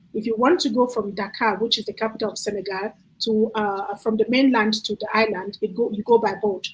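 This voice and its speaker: Somewhat breathy and fairly high-pitched, a woman talks at a fairly quick pace with fairly even intonation. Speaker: children's book author presenting her book. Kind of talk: book presentation on a video call. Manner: fast; halting, stutters.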